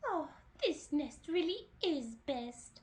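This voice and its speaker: Put-on character voice from a woman, pitched extremely high. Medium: read story.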